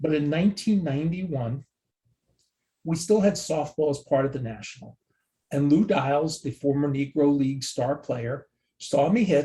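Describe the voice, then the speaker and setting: A man with an American accent speaks at a moderate pace with a fairly high pitch and ordinary pitch variation. His tone is dark, mellow and somewhat breathy, with long, frequent pauses. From New Jersey. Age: 60s. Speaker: sports card database expert. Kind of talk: casual interview.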